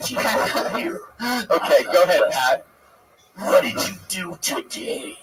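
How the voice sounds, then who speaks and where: A man does a put-on character voice, speaking at a very slow pace. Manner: calm.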